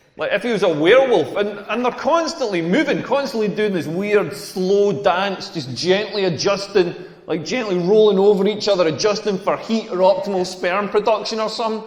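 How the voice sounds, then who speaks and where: Speaking with a Scottish accent at a moderate pace and hardly any pauses, a man with a high voice uses ordinary pitch variation over noticeable background noise and audible room echo. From rural Scotland. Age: 40s. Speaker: comedian. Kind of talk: stand-up. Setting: stage with audience.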